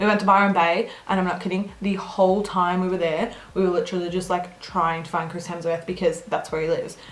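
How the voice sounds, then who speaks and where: A woman with an Australian accent speaks at a fairly quick pace in a medium pitch. Her voice is somewhat breathy, with audible room echo. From Australia, Melbourne. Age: 20s. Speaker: beauty vlogger. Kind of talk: casual Q&A chat.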